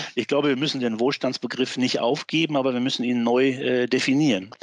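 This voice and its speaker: Fairly quick speech with fairly even intonation against noticeable background noise. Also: man. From Westphalia, Germany. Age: 60s. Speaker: professor and former politician. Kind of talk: interview.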